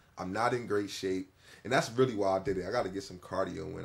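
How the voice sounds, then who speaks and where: Over a silent background in a very clean recording, a man talks at a fairly quick pace with a very deep, low pitch. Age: 30s. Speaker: former basketball player and youth coach. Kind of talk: casual chat.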